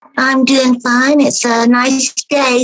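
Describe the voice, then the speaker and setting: With an American accent, a woman speaks in a high pitch. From Appalachian North Carolina. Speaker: podcast guest. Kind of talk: casual chat.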